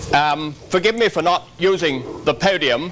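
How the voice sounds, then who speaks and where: A man speaks in a high pitch with ordinary pitch variation, and there is noticeable background noise. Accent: English. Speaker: workshop lecturer on terrorism. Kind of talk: conference lecture. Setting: conference hall with audience. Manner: formal.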